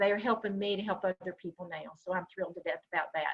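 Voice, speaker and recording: A woman speaks in a Southern US accent. Her intonation is fairly even. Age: 60s. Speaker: breast health educator. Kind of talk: online workshop presentation. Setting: video call.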